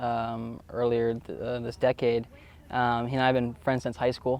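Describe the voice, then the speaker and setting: A man's medium-pitched voice stays monotone, with flat intonation throughout. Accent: Florida. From Florida. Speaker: college tennis player. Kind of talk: interview. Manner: hesitant, many fillers.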